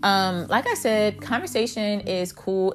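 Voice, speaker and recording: A woman speaks with fairly even intonation at a medium pitch. It is an ordinary speaking voice. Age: 30s. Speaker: vlogger sharing personal dating experiences. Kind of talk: casual monologue.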